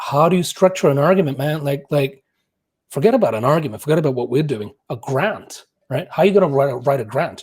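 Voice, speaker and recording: The speaker talks at a very fast pace with an animated tone. The voice is somewhat breathy, with ordinary pitch variation. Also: man, fairly high pitch for a man. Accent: non-native. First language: not English. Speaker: musicologist and professional musician. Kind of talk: casual podcast interview. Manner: animated, with frequent repetitions.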